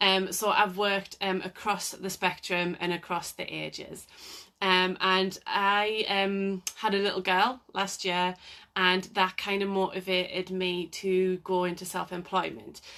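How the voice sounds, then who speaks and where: Over a quiet background, a woman with a North East England accent speaks at a fairly slow pace in a medium pitch, monotone and flat, her tone bright and sharp. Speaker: occupational therapist. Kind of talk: live Q&A talk. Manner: hesitant, many fillers.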